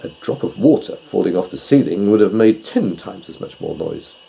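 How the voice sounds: A man's put-on character voice, low and dark with a mellow tone and vocal fry, at a moderate pace with lively intonation.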